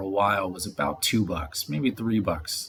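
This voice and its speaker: Lively intonation from a man whose voice is somewhat breathy. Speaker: crypto and NFT commentator. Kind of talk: casual speculative commentary video. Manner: fast.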